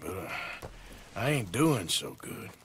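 In a put-on character voice, a man speaks slowly at a low pitch with big pitch swings and a fairly bright tone, with audible room echo.

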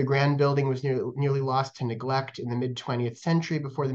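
A man speaking at a fairly quick pace against a quiet background. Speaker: museum education manager. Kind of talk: program introduction. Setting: video call. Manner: halting, many fillers. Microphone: webcam.

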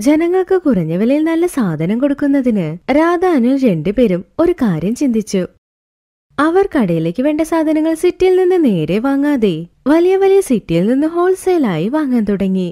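Her high voice has a dark, mellow tone and big pitch swings as the woman speaks at a moderate pace.

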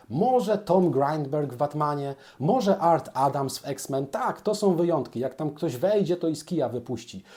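Lively in intonation, a man speaks with a dark, mellow tone at a fairly high pitch, with hardly any pauses. The recording is very clean, with a silent background. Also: moderate pace. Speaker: comic book artist and YouTuber. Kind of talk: casual monologue. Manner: hesitant fillers.

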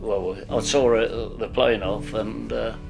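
A man's voice over clear background music. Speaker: WWII RAF ground crew veteran. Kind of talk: interview answer. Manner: hesitant, halting. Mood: somber, reflective recollection. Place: home room.

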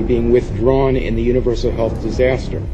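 Background noise is noticeable while a man talks at a moderate pace. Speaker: public commenter at hearing. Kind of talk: prepared public testimony. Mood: accusatory, urgent. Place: meeting room.

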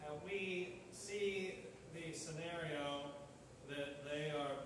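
Over noticeable background noise and strong room echo, a man speaks very slowly with fairly even intonation. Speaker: pastor. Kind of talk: sermon. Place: church. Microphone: camera far.

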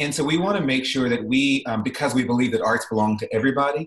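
Fairly quick speech from a man at a medium pitch, with audible room echo. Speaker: arts executive and musician. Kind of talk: interview. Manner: calm, serene. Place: home room. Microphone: video call.

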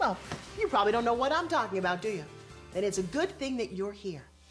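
In an upbeat tone, a woman speaks with very wide pitch swings as music plays in the background. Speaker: infomercial host. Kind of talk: TV commercial read. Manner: upbeat, cozy.

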